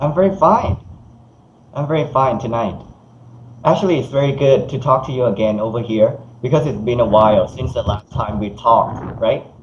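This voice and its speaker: At a moderate pace and medium pitch, a man with a Thai accent uses lively intonation and long, frequent pauses. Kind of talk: casual video call conversation. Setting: internet call.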